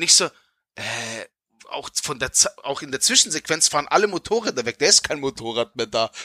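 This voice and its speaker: A man with a bright, sharp tone uses lively intonation at a fairly quick pace, with long, frequent pauses and a dry, close sound with no echo. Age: 40s. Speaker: podcast co-host. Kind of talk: casual chat. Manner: halting.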